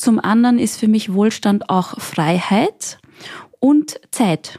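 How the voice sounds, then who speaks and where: Her voice has a dark, mellow tone, is somewhat breathy, shows ordinary pitch variation, and sounds dry and close with no echo. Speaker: guest. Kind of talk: casual chat.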